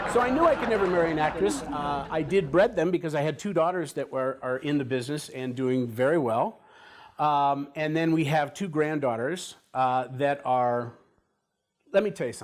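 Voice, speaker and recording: A man with a normal speaking voice, fairly high pitch, ordinary pitch variation and a moderate pace, in a very clean recording with a silent background. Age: 60s. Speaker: actor. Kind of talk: interview.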